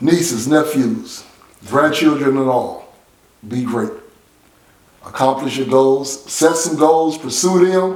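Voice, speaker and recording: Over noticeable background noise and audible room echo, a man talks in an animated tone at a fairly slow pace. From San Francisco, Bayview Hunters Point. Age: 60s. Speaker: motivational speaker. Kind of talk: motivational address; casual interview chat.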